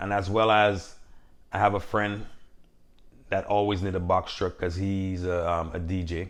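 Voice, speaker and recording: A man with a Caribbean accent, fairly low in pitch, in monotone, flat intonation. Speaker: box truck business owner, vlogger. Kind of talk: casual Q&A vlog talk.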